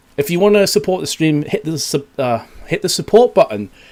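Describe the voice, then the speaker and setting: The speaker is a man. His pace is moderate. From northeast England, near Newcastle. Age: 20s. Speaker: esports caster / streamer. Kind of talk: live stream chat between game breaks. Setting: live online stream. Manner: casual, chatty.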